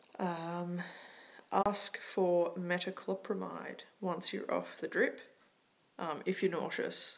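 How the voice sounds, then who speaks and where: At a very slow pace, a woman speaks with an Australian accent. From Australia, Melbourne. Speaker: vlogger. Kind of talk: casual tutorial vlog.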